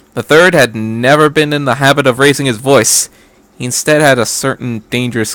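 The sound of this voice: An unforced reading voice shifts in pitch in an ordinary way.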